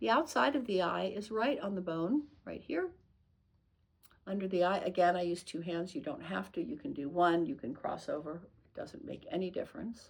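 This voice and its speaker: With vocal fry and a gentle, soothing tone, a woman's voice swings very widely in pitch. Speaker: nurse and tapping instructor. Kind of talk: tutorial. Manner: fast.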